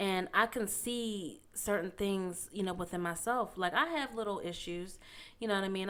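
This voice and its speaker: In an American accent, a woman talks at a medium pitch with ordinary pitch variation and a normal speaking voice. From Pittsburgh, Pennsylvania. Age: 20s. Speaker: podcast co-host. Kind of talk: casual chat.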